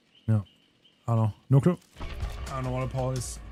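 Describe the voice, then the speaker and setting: A man speaks with lively intonation and an animated tone while music plays in the background. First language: not English. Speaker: gaming streamer. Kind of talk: live game stream commentary. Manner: casual, animated.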